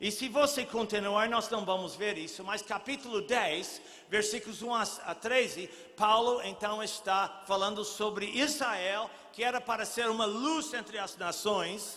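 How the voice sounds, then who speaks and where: Speaking at a fairly slow pace, a man uses a raised, projected voice with high pitch and ordinary pitch variation, and room echo is audible. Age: 70s. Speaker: pastor. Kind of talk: sermon.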